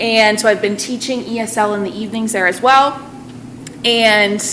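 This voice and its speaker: Against noticeable background noise, a woman with an American accent speaks in a fairly high voice with fairly even intonation. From central Massachusetts. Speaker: Spanish teacher. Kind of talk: presentation to a school committee.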